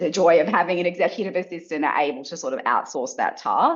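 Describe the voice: With lively intonation, a woman speaks.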